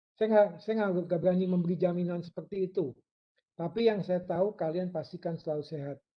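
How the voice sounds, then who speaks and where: This man speaks at a high pitch. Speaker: university lecturer. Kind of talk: lecture. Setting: online live class. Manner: fast.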